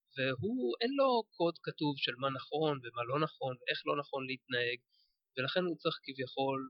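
At a moderate pace, a man speaks with ordinary pitch variation, a plain, everyday voice. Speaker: podcaster and sci-fi fan. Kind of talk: casual chat. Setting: studio.

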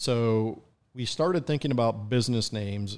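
With an American accent, a man speaks in a plain, everyday voice at a medium pitch with ordinary pitch variation. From upstate New York. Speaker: importer and collector. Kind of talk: casual chat.

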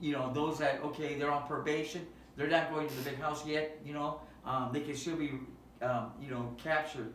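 Over noticeable background noise and audible room echo, a man talks at a moderate pace in a fairly high pitch with monotone, flat intonation. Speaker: nonprofit youth outreach worker. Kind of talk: casual chat. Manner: halting. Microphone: no microphones, camera audio.

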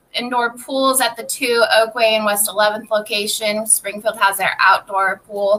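Noticeable background noise sits behind a woman with a fairly high pitch and fairly even intonation. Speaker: gym general manager. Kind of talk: casual chat.

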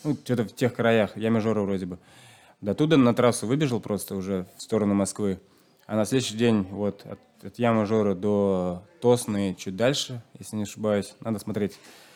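With a Chuvash accent and a dark, mellow tone, a man speaks at a moderate pace with a fairly low pitch and fairly even intonation on a very clean recording with a silent background. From Chuvashia, rural village. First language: Chuvash (speaking Russian). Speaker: long-distance runner. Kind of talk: interview. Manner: hesitant, many fillers.

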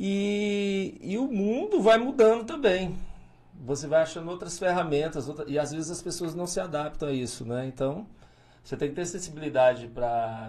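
A man's high voice with lively intonation at a moderate pace, in audible room echo. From Tocantins, Brazil (north-central). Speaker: mayor, former police officer. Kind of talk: interview. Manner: hesitant, many fillers.

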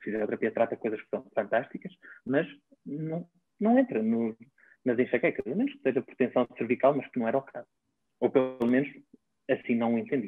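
A man's medium-pitched voice at a fairly quick pace, ordinary pitch variation, big swings in loudness, and long, frequent pauses. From northern Portugal, Baião. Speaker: physiotherapist and traditional Chinese medicine practitioner. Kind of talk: interview conversation.

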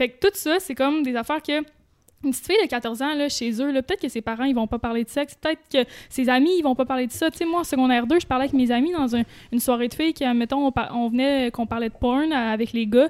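A high-pitched woman talking at a very fast pace. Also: ordinary pitch variation. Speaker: YouTuber. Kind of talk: casual chat.

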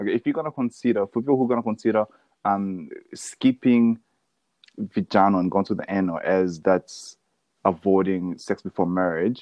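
A man speaks at a moderate pace. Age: 20s. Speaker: podcast co-host. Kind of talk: casual chat.

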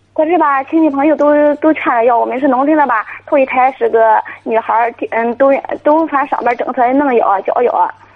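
A high-pitched woman is speaking. Her pace is fairly quick. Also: ordinary pitch variation. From rural China. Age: 20s. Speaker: caller, young mother. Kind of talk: call-in radio advice. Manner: halting.

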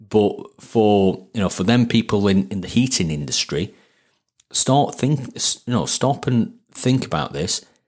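The speaker has a Sheffield accent and lively intonation. The delivery is fairly slow. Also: man, medium pitch for a man. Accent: Sheffield, northern English. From Sheffield, northern England. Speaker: plumber turned marketer and business owner. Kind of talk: casual interview chat.

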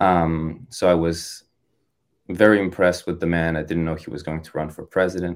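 A man's very deep, low voice with monotone, flat intonation, big swings in loudness and a moderate pace, in a very clean recording with a silent background. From France. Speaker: political campaign advisor. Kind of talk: interview.

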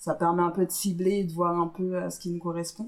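This woman's voice sits at a fairly low pitch. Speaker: podcast co-host, moderator. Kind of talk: casual chat.

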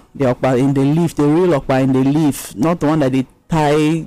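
A woman talks at a fairly quick pace, her very deep, low pitch carrying a dark, mellow tone. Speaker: radio co-host. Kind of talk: radio talk show. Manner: energetic.

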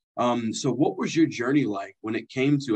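In a normal speaking voice with ordinary pitch variation, the speaker goes at a moderate pace, the sound dry and close with no echo. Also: man. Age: 30s. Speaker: podcast host. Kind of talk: interview.

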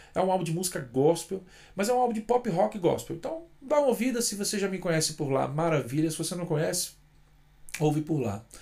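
His dark, mellow voice is high for a man and swings very widely in pitch. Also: fairly quick pace. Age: 40s. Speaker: singer-songwriter vlogger. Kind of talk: casual vlog monologue. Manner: unscripted, hesitant fillers.

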